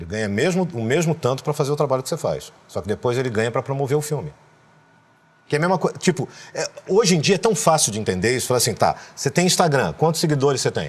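A man talks at a very fast pace. His fairly high pitch carries lively intonation. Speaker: voice actor and dubbing director. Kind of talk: interview answer. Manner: casual, frank. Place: studio. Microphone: lapel.

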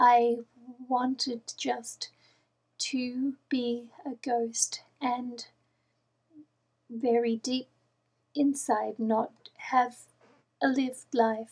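A woman's high, monotone, flat voice at a very slow pace, with long, frequent pauses and a quiet background. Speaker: personal video blogger. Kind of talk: personal talk to camera. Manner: quiet, low volume; halting, effortful speech. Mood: soft, reflective, halting. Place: home room. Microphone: webcam.

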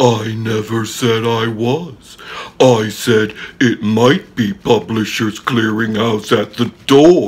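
This is a man using a put-on character voice. He speaks at a very slow pace. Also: medium pitch for a man. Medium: comedy sketch. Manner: coaxing, upbeat.

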